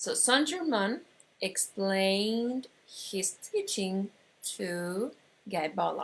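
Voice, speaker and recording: A woman speaks in an Argentine accent. Her pace is very slow and her intonation lively. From Argentina. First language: Spanish. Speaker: metaphysics teacher. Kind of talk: online course lecture. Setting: online broadcast. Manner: halting, many fillers.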